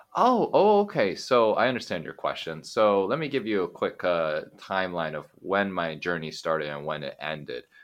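A man with an American accent speaks at a moderate pace. He takes hardly any pauses. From US, Oregon (Eugene). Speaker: English teacher, podcaster. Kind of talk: interview, casual chat.

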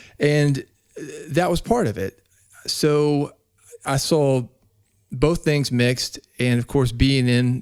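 At a very slow pace, a man talks in a medium pitch with ordinary pitch variation. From US South, Nashville, Tennessee. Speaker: author and podcast consultant. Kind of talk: casual interview. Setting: remote call.

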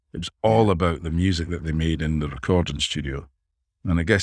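A man with a Dundee accent speaks at a moderate pace. The recording is very clean and silent behind him, with a dry, close sound and no echo. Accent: Scottish (Dundee). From Scotland, Dundee. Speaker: songwriter and producer. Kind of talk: interview conversation.

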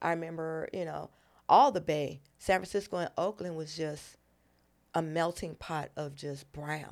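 In a very clean recording with a silent background, a woman speaks fairly slowly with an American accent. Hers is an ordinary speaking voice, with fairly even intonation. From Los Angeles and New York. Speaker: comedian and military veteran. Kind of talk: casual chat.

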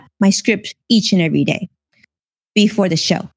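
In a dry, close sound with no echo, a somewhat breathy woman with an American accent talks at a fairly quick pace. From US West Coast, Los Angeles. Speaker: financial TV host and former financial advisor. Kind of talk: casual interview. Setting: live stream.

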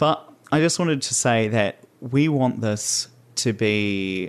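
Ordinary pitch variation in a New Zealand accent. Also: man. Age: 20s. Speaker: podcast host. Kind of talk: solo podcast monologue.

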